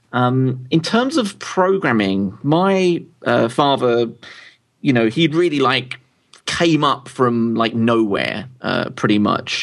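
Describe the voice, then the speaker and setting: With ordinary pitch variation, a man speaks in a London accent. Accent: southern English, London. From London, England. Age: 30s. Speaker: tech publisher and founder. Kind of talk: interview.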